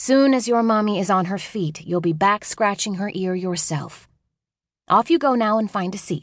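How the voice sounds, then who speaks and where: A woman's plain, everyday voice at medium pitch, moderate pace and lively intonation. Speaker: audiobook narrator. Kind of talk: dramatic first-person audiobook narration of a child's voice. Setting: studio. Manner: playful, wide-eyed childlike storytelling; shifts into distinct voices for adult characters.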